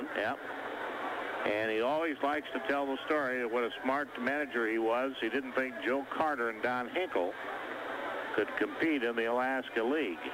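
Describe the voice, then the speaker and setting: A man speaks at a moderate pace and medium pitch, with ordinary pitch variation and very even loudness. Noticeable background noise sits underneath. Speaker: baseball play-by-play announcer. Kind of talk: live baseball radio play-by-play.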